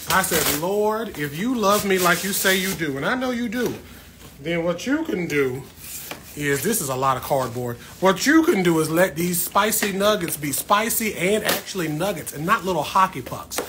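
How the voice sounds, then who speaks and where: A man talks at a moderate pace with lively intonation. There is noticeable background noise. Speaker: plant livestreamer. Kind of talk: casual livestream chat. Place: home room. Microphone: phone near.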